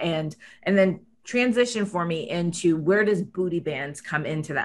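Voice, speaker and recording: Her voice plain and everyday, a woman speaks at a moderate pace, pitched fairly low with ordinary pitch variation. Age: 50s. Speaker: podcast host. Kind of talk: interview.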